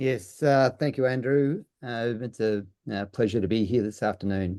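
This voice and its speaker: A man with an American accent speaks at a medium pitch and moderate pace, with a dark, mellow tone and ordinary pitch variation. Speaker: trade policy expert. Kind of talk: webinar presentation.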